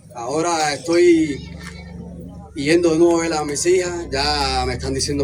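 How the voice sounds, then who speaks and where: Fairly even intonation from a man, amid audible room echo and noticeable background noise. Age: 20s. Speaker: recovering drug addict. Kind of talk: testimony.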